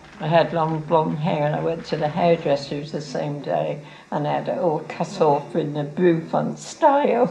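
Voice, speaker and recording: With hardly any pauses, a woman speaks at a moderate pace amid audible room echo and noticeable background noise. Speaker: local resident. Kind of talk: interview.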